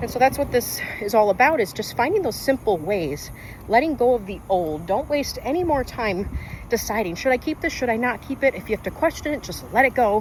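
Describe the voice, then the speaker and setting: A woman speaks in an animated tone at a fairly quick pace, her pitch swinging very widely. Noticeable background noise is present. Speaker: lifestyle vlogger. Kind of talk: casual vlog monologue. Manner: fast.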